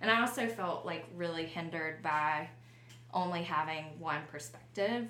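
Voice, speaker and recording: Lively intonation in a Southern US accent, with noticeable background noise and audible room echo. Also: woman, fairly low pitch for a woman, moderate pace. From Alabama, small town south of Montgomery. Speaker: business co-founder. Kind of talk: casual interview.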